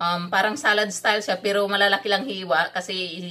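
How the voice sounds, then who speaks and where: A woman's bright, sharp tone at a fairly slow pace, with fairly even intonation. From Visayas, Philippines. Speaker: cooking vlogger. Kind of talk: cooking tutorial. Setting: home kitchen. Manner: halting, stumbles over words. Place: kitchen.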